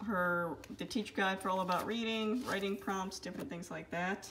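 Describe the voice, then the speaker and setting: A woman at a fairly quick pace with fairly even intonation, over noticeable background noise. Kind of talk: casual vlog chat. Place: home room. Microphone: phone near.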